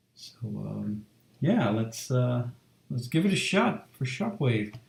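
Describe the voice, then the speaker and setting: This voice belongs to a man and is somewhat breathy. Its pitch lands in the middle range. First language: not English. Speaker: illustrator streaming a drawing session. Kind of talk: casual live-stream talk. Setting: home live stream, door shut. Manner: halting, many fillers.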